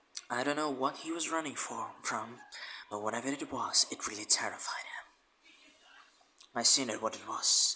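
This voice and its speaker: At a moderate pace, a man speaks in a whisper. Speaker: YouTube reactor. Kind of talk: reaction commentary.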